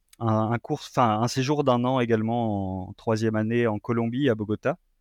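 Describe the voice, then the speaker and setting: Speaking at a fairly slow pace, a man uses medium pitch and ordinary pitch variation, with a dry, close sound with no echo and a quiet background. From France. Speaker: postdoctoral researcher in environmental science. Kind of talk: interview. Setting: remote call. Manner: halting.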